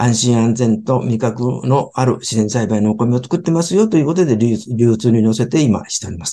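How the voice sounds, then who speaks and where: A man with a dark, mellow tone and medium pitch speaks at a moderate pace with lively intonation. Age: 70s. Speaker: sushi restaurant company chairman. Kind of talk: interview talk about his business.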